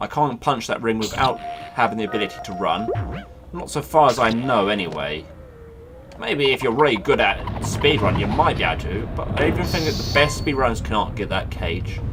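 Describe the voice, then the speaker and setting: Music runs in the background and room echo is audible as a man of medium pitch talks at a fairly quick pace with lively intonation. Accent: British. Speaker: gaming let's play commentator. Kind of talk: casual gameplay commentary. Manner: chatty, rambling; loud.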